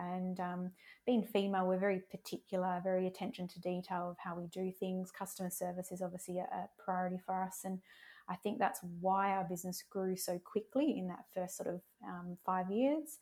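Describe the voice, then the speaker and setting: A woman with an Australian accent talks at a moderate pace. Her pitch is medium and her tone dark and mellow. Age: 30s. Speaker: business owner. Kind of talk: interview.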